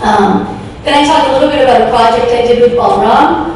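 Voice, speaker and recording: A woman with a fairly high pitch talks at a moderate pace, and the recording carries audible room echo and noticeable background noise. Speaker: professor. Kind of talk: lecture.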